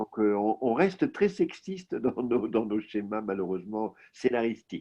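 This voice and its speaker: A man with an ordinary speaking voice talks at a medium pitch and a fairly slow pace. His intonation is lively, with hardly any pauses. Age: 60s. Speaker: novelist, former journalist. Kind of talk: interview conversation. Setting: video call.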